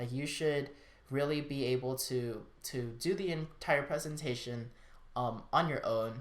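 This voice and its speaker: A man's fairly high-pitched voice with fairly even intonation and audible room echo. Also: fairly slow pace. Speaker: student design team member giving advice. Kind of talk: casual vlog talk. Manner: filler-heavy, informal.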